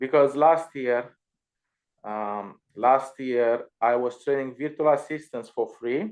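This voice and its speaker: Speaking in a Romanian accent, a man takes a very slow pace. His pitch is medium, with ordinary variation. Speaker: Amazon seller and virtual assistant trainer. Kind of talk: casual chat. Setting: live stream video call.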